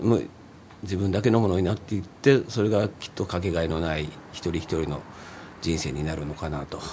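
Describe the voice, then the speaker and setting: With a very deep, low pitch, a somewhat breathy man speaks at a fairly quick pace and ordinary pitch variation. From Nagoya, Japan. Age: 50s. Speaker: singer-songwriter, former street musician. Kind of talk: casual chat.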